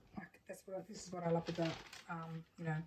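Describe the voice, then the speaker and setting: An Australian accent marks this woman's speech. Her pitch is fairly low and her intonation monotone and flat. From Australia, Sydney. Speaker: crafter. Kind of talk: casual craft tutorial. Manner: casual, hesitant with fillers.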